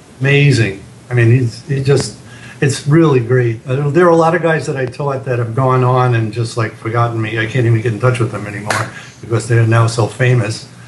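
A man at a fairly quick pace with fairly even intonation, against noticeable background noise. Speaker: guitar teacher. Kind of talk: interview. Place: home room. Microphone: webcam.

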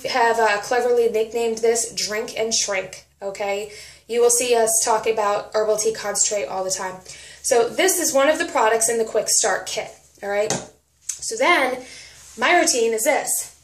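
Audible room echo surrounds a woman's voice. She talks at a moderate pace with ordinary pitch variation. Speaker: nutrition product coach. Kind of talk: casual vlog chat. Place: home room. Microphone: phone near.

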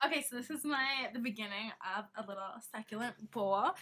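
At a fairly quick pace, a woman speaks with ordinary pitch variation. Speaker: vlogger showing her plants. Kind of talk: casual vlog chat. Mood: cheerful, amused. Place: home room.

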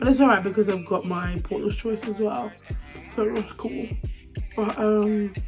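A woman's voice with clear music in the background. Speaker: vlogger. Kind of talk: casual vlog chat. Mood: relaxed, chatty. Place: home room. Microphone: phone near.

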